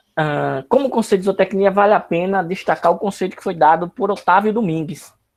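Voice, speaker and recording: A man's high-pitched voice at a fairly quick pace, with ordinary pitch variation and big swings in loudness. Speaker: university lecturer. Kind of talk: online lecture.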